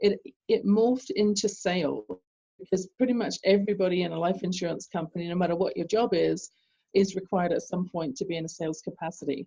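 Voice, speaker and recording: In a British accent, a woman speaks at a fairly quick pace and medium pitch, somewhat breathy, with a dark, mellow tone and ordinary pitch variation. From England. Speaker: business coach. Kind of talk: interview. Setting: call.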